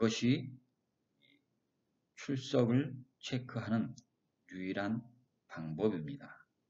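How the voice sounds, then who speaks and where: Very slow speech from a man at a medium pitch, dark and mellow in tone, with lively intonation, long, frequent pauses and audible room echo. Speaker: professor. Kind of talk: lecture. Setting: recorded online lecture with slides. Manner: deliberately slow. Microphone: recording keeps cutting out.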